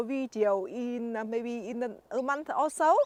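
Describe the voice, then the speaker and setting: Recorded very cleanly against a silent background, a woman with a Vietnamese accent speaks at a fairly slow pace and a high pitch, with ordinary pitch variation and a dry, close sound with no echo. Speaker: gardening YouTuber. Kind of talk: garden tour vlog. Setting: outdoors in garden. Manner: halting, many fillers.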